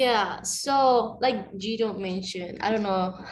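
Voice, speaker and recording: The voice carries a Mexican accent. Room echo is audible. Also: woman. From Mexico. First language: Spanish. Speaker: panelist, recent college graduate. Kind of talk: panel discussion.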